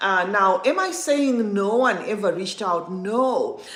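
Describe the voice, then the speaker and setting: The voice moves through very wide pitch swings amid noticeable background noise and audible room echo. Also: woman. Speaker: perfume content creator and livestream host. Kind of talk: livestream chat reading viewer comments. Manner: halting, many fillers and restarts.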